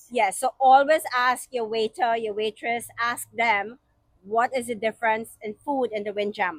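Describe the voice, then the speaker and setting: Speaking in a Trinidadian accent, a woman uses a fairly high pitch with ordinary pitch variation in a dry, close sound with no echo. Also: moderate pace. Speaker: podcast co-host. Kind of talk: casual chat.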